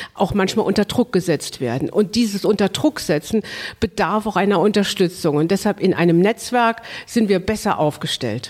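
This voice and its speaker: Her voice is an ordinary speaking voice, a woman at medium pitch moving at a moderate pace with ordinary pitch variation. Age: 50s. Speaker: mayor. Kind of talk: interview.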